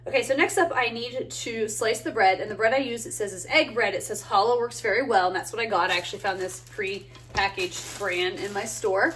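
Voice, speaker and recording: Lively intonation drives a fairly quick pace against noticeable background noise. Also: woman, fairly high pitch for a woman. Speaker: home cooking video host. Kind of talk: cooking tutorial. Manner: casual, with filler words.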